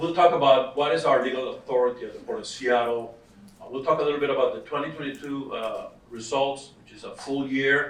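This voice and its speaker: In a Costa Rican accent, a man speaks at a fairly quick pace and fairly high pitch, with ordinary pitch variation and big swings in loudness, amid noticeable background noise and audible room echo. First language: Spanish. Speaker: workforce development director. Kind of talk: conference presentation.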